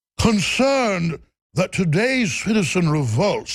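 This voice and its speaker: Using a put-on character voice in a Mid-Atlantic accent, the speaker talks at a fairly slow pace and a middle pitch. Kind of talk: upper-class, elitist.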